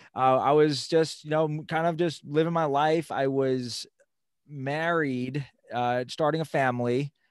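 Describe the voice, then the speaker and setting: A man with an American accent uses a plain, everyday voice, fairly high in pitch and fairly even in intonation. He speaks fairly slowly on a very clean recording with a silent background. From Long Island, New York. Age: 40s. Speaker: fitness professional and financial coach. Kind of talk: casual interview.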